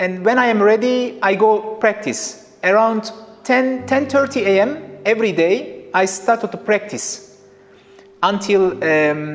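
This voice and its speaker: Faint music plays behind a man who speaks at a high pitch and a very slow pace. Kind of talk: interview answer. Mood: relaxed, smiling. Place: studio. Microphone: lapel.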